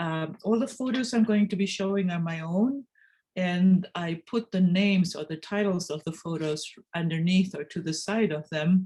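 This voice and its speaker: Dark, mellow tone in a woman's somewhat breathy voice. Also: medium pitch for a woman, ordinary pitch variation, moderate pace. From Argentina. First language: Spanish (also German). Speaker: photographer. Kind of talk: presentation. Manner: hesitant, with many fillers.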